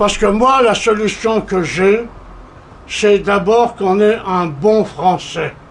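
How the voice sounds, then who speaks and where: At a very slow pace, a man with a high pitch speaks with ordinary pitch variation and very even loudness, amid noticeable background noise and audible room echo. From Corsica, France. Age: 80s+. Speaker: veteran journalist and politician. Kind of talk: conference talk.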